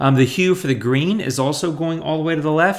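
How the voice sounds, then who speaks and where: A man talks at a fairly quick pace. His tone is animated, with lively intonation. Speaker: photo editing tutorial YouTuber. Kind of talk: tutorial. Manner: fast.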